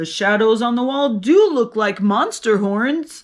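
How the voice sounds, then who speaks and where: The speaker uses a put-on character voice with a fairly high pitch. The pace is fairly slow. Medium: read story. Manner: gruff.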